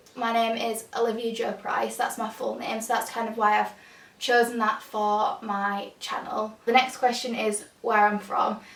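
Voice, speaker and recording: A woman with a strong Yorkshire accent, fairly high in pitch, at a fairly slow pace with monotone, flat intonation and audible room echo. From northern England, Huddersfield, Yorkshire. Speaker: lifestyle youtuber and student. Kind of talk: casual Q&A vlog. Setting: home, bedroom.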